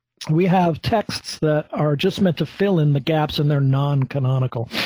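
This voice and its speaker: A man speaks at a moderate pace with a fairly high pitch and ordinary pitch variation, his tone dark, mellow and somewhat breathy. The sound is dry and close, with no echo. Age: 40s. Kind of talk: casual chat.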